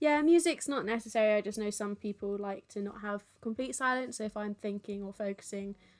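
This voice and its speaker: A woman with a fairly high pitch speaks at a fairly quick pace with hardly any pauses. Her pitch varies in an ordinary way. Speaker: twitch artist streaming a drawing. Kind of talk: live stream drawing tutorial chat. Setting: live stream with background music. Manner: loud, talking over music.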